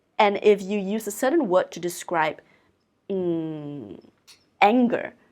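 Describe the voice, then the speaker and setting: On a very clean recording with a silent background, a woman speaks at a very slow pace in a medium pitch with lively intonation. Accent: Chinese. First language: Mandarin Chinese. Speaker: oracle card reader and channeler. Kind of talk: oracle card reading. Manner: reflective, conversational.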